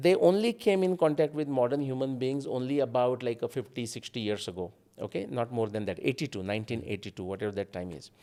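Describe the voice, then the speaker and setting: A man with a Marathi accent speaks at a very fast pace and medium pitch. His tone is dark and mellow, in a very clean recording with a silent background. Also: lively intonation. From India, Maharashtra coast between Mumbai and Goa. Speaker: independent researcher. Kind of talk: podcast interview.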